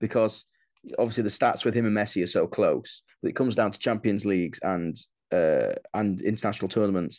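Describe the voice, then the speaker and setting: Against a quiet background, a man talks at a fairly quick pace. He has a Yorkshire accent. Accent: Yorkshire northern English. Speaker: comedian. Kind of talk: casual chat.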